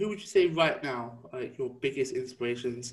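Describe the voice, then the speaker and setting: The speaker is a man with a somewhat breathy voice. He talks at a moderate pace, his pitch varying in an ordinary way. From Essex, England. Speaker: podcast co-host. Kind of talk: casual interview chat. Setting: video call.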